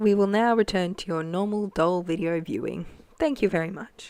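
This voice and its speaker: This woman has a medium pitch. She speaks at a moderate pace. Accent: Australian. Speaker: doll customiser. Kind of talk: tutorial voice-over. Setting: voice-over. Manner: casual, hesitant.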